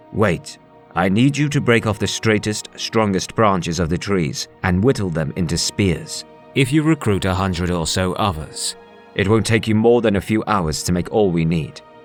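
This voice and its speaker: Fairly low male pitch in a put-on character voice at a moderate pace, with clear music in the background. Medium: read story. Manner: calm, assured.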